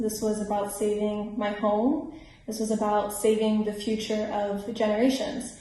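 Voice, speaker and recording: A woman with an American accent speaks at a fairly high pitch and a moderate pace. Audible room echo and noticeable background noise are present. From Miami, Florida. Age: 20s. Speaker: climate activist. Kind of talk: scripted personal testimony.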